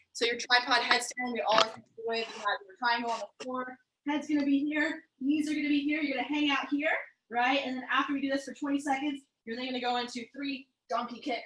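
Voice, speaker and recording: A woman's raised, projected voice comes at a fairly quick pace in a high pitch, with a bright, sharp tone and fairly even intonation. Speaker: fitness coach. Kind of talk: exercise class instruction. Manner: fast.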